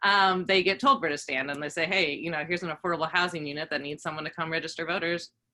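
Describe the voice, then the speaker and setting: A woman speaks very fast with hardly any pauses, at a fairly low pitch with ordinary pitch variation. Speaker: voter registration organizer. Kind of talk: presentation to community groups. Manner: many fillers, hesitant.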